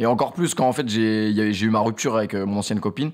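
A man talks at a moderate pace in a medium pitch. His pitch varies in an ordinary way, and the background is quiet. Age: 20s. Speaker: streamer and YouTuber; streamer, YouTuber. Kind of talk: casual chat interview; interview answer. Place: studio. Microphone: studio mic.

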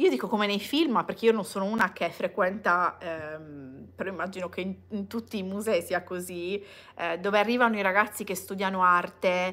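Bright and sharp in tone, a woman speaks with fairly even intonation and an Italian accent. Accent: Italian accent when speaking English. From Italy. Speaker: vlogger. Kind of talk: casual livestream chat. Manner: hesitant with many fillers. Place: home room. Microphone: phone near.

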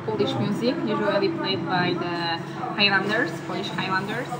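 Loud background noise fills the recording. The speaker talks at a moderate pace. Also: woman. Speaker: travel vlogger. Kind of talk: casual vlog chat. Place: cafe. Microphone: phone near.

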